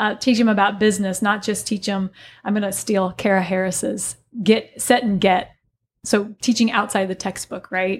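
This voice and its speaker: A woman with an American accent speaks at a moderate pace in a somewhat breathy voice. Her intonation is monotone and flat, and the recording is very clean with a silent background. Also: medium pitch for a woman. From US Midwest, southern Illinois (Alton, Godfrey area). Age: 40s. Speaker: business instructor and yoga studio owner. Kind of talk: casual interview chat. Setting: studio.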